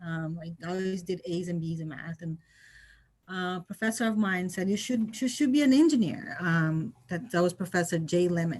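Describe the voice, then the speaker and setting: With music in the background, the speaker talks at a moderate pace in a Portuguese accent. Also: woman. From Brazil. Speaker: engineer, guest speaker. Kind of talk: interview, personal story. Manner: halting.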